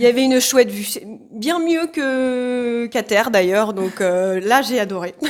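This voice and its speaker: Noticeable background noise surrounds a woman with a fairly high pitch. She speaks at a fairly slow pace with lively intonation. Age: 30s. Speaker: social care worker and hiker. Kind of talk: casual interview.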